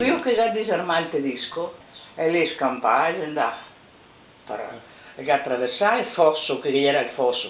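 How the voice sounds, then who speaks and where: A woman with a Venetian accent at fairly low pitch and moderate pace, her pitch swinging very widely, with long, frequent pauses, audible room echo and noticeable background noise. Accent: Venetian dialect of Treviso. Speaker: oral history witness. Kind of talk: oral history interview. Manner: halting.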